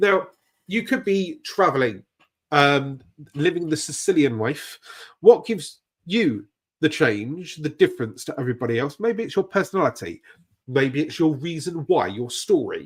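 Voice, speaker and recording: Someone talks in a British accent at a moderate pace, with very wide pitch swings. The recording is very clean, with a silent background. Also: man, fairly high pitch for a man. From Britain. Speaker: YouTube growth coach. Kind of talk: live stream tutorial. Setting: live stream. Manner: casual, animated.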